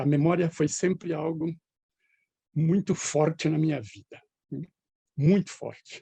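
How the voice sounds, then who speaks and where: Speaking at a fairly slow pace with long, frequent pauses, a man with a fairly high voice and a dark, mellow tone shows ordinary pitch variation and big swings in loudness, in a dry, close sound with no echo. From Brazil, northwest São Paulo state (near Andradina). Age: 70s. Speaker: retired professor. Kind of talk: interview.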